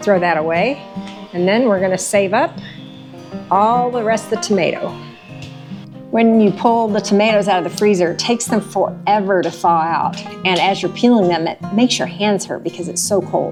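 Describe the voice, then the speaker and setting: Music plays behind a woman with an American accent who speaks at a moderate pace and medium pitch, with ordinary pitch variation. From Texas. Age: 60s. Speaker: farmer. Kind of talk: how-to tutorial talk to camera.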